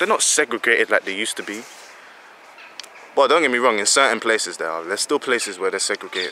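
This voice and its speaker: Amid noticeable background noise, a man talks very fast, broken up by long, frequent pauses. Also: dry, close sound with no echo. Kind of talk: opinion monologue to camera. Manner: casual, hesitant, frustrated.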